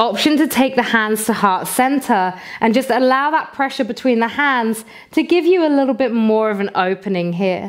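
Against a quiet background, a soft-spoken voice with a British accent uses lively intonation and a calm tone. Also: woman, fairly high pitch for a woman. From England. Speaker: yoga teacher. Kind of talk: guided yoga flow with breath-counting cues, meditative instruction. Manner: slow, soothing, gently counting each inhale and exhale; calm, softly encouraging with frequent optional invitations. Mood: calm, soothing.

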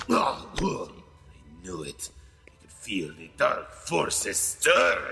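A man's raspy, cartoonish character voice at a very slow pace. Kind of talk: fan dub of animated film scene. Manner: menacing, dramatic.

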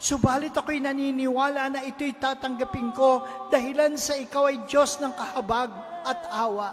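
Speech at a moderate speed comes through noticeable background noise. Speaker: prayer leader. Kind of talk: fervent healing prayer. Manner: earnest, pleading, imploring; emphatic, rising to commanding declarations.

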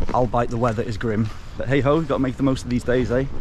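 A man speaks with ordinary pitch variation. Noticeable background noise runs behind him. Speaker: travel vlogger. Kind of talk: casual vlog chat. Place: street. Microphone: phone near.

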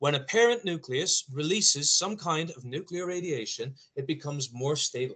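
Over a quiet background, a man talks at a moderate pace. His pitch varies in an ordinary way. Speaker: science teacher. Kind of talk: lecture. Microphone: video call.

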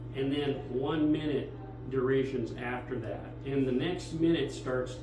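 A man is speaking in a room with audible echo. Clear music plays in the background. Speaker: museum docent guide. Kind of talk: guided tour explanation. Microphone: camera far.

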